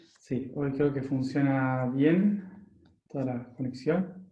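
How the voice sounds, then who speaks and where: Somewhat breathy and very slow, a man speaks with ordinary pitch variation amid audible room echo. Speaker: spiritual workshop teacher. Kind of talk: lecture. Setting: live online workshop. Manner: talkative, unscripted.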